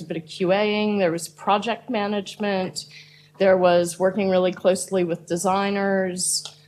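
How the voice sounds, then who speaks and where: With fairly even intonation, a normal speaking voice proceeds at a moderate pace. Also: woman. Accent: American. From United States. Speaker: product manager. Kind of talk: panel discussion.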